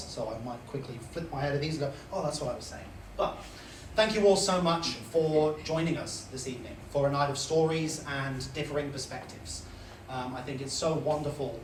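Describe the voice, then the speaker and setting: A fairly high-pitched man at a fairly quick pace, with big swings in loudness and noticeable background noise. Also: ordinary pitch variation. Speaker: Tourette syndrome advocate. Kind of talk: live storytelling on stage. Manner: vocal tics interrupt speech.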